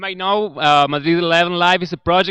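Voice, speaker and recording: A man's fairly high, bright and sharp voice in a Spanish accent, at a fairly quick pace with fairly even intonation, dry and close with no echo over a quiet background. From Argentina. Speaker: volunteer community manager hosting live stream. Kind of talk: live stream interview. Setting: office with people working, live stream.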